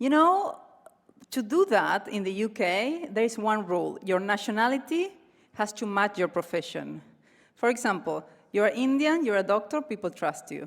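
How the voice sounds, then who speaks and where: Woman with an Argentine accent, fairly high in pitch, moderate pace, very wide pitch swings. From Argentina, Cordoba. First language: Spanish. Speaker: comedian. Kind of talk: stand-up. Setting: stage with audience.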